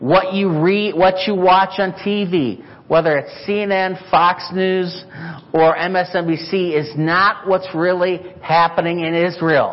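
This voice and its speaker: Over noticeable background noise, a man talks at a very slow pace. His high voice stays monotone and flat. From Chicago, US Midwest. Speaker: missionary. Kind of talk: sermon. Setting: church.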